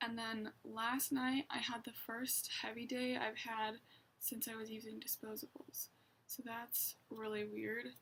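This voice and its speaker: Quiet and fairly slow, a woman speaks with a fairly high pitch and a monotone, flat intonation. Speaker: vlogger. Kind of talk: casual vlog monologue.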